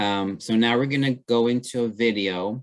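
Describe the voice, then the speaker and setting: Fairly even intonation marks a man speaking with an American accent. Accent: slight accent, noted by others. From Texas, Rio Grande Valley (Brownsville). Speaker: trainer, webinar presenter. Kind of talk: webinar presentation and discussion.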